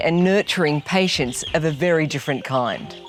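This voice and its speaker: Music plays in the background. The speaker keeps a moderate pace with lively intonation. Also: woman. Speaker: presenter. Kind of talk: casual talk to camera.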